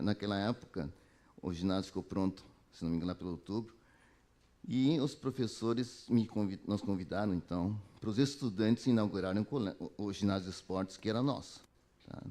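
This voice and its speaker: Quick-paced and fairly low-pitched, a man talks in a dark, mellow tone with ordinary pitch variation. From southern Brazil, Porto Alegre. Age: 60s. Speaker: alumnus speaker, health professional. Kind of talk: talk to students. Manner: halting, many self-corrections.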